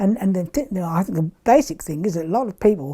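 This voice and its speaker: Somewhat breathy, a woman with an English accent speaks at a fairly quick pace and medium pitch in a dark, mellow tone. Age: 70s. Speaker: pensioner. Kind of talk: interview. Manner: halting.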